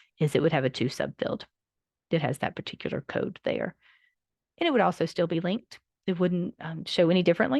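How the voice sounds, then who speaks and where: Talking at a fairly quick pace yet with long, frequent pauses, a woman with a fairly low pitch uses lively intonation in a dry, close sound with no echo. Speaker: library software trainer. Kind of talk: training presentation. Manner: fast.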